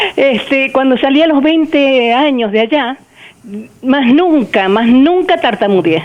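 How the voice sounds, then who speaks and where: With noticeable background noise, the speaker moves at a fairly slow pace with lively intonation and very even loudness. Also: woman, high pitch for a woman. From Argentina, Buenos Aires. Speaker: caller. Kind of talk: testimony.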